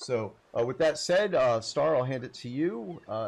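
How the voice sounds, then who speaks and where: The speaker's intonation is lively, set against a quiet background. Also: man. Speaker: livestream host. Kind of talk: casual chat. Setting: livestream. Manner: halting.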